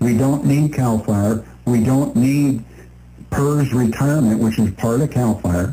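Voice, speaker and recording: At a fairly slow pace, a man speaks with a medium pitch, ordinary pitch variation and very even loudness. His tone is dark and mellow, and somewhat breathy. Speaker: radio talk show co-host. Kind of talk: radio talk show. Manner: stutters at times.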